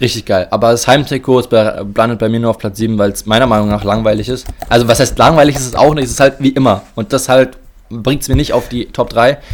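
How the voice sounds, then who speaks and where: A man at medium pitch speaks with fairly even intonation over noticeable background noise. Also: fairly quick pace. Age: 20s. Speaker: football podcast co-host. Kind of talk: casual chat.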